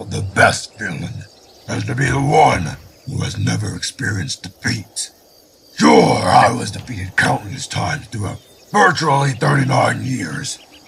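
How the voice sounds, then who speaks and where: A man growls in a put-on character voice. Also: medium pitch for a man, moderate pace. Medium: machinima.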